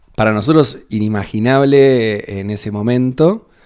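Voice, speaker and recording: A man's dark, mellow voice with an Argentine accent. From Argentina, Buenos Aires. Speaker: parish priest. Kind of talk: radio interview.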